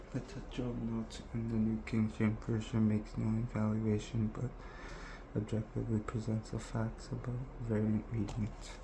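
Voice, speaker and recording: A moderate pace and a soft-spoken manner. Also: man. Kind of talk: scripture reading.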